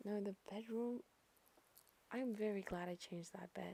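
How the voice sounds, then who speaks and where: Soft-spoken whispering at a moderate pace. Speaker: gaming YouTuber. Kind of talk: voiceover narration of a speed build. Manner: soft, whispering; insecure, hesitant.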